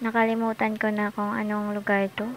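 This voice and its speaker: Noticeable background noise sits behind a woman speaking fairly slowly at a fairly high pitch. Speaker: travel vlogger. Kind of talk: casual travel vlog narration. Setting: in a car. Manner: soft-spoken.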